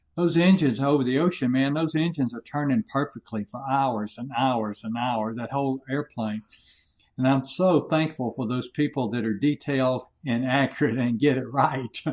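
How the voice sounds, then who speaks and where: A man with a Southern US accent and ordinary pitch variation. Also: medium pitch for a man, moderate pace. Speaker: leadership coach and war veteran. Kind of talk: interview. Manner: loud.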